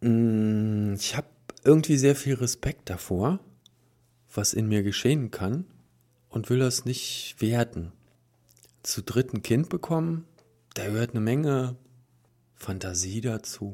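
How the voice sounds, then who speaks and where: In a very clean recording with a silent background, a man of medium pitch and dark, mellow tone speaks very slowly with long, frequent pauses and ordinary pitch variation. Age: 40s. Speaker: polyamory meetup organizer. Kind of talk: interview. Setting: studio.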